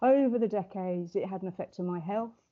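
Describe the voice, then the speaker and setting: A woman speaks with an English accent. Her pitch varies in an ordinary way. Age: 60s. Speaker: wellbeing coach. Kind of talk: podcast interview. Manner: fast.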